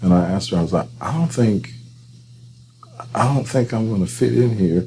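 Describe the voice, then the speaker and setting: Over noticeable background noise, a man with a fairly low pitch for a man speaks at a moderate pace, his pitch swinging very widely. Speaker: counseling director, podcast host. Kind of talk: interview conversation. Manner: loud.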